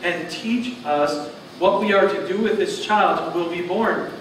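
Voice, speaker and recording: There is audible room echo and noticeable background noise as a man speaks at a moderate pace. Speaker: preacher. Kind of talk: sermon scripture reading. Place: church. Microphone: camera far.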